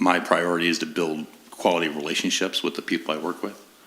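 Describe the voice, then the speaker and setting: There is noticeable background noise in this clip. A man speaks with a very deep, low pitch. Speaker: board position applicant. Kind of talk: interview. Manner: halting, many fillers and repetitions.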